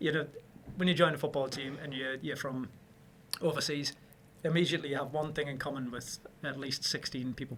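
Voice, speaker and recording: A man in a Newcastle accent, fairly high in pitch, monotone and flat, at a fairly quick pace broken by long, frequent pauses. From northern England, Newcastle. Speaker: property developer. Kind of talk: casual interview chat.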